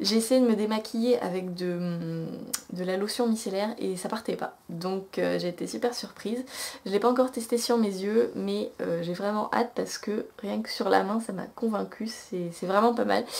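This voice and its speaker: Noticeable background noise sits behind this recording. A woman talks at a moderate pace and medium pitch, with ordinary pitch variation. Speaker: beauty vlogger. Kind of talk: casual product haul review. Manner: hesitant, many fillers.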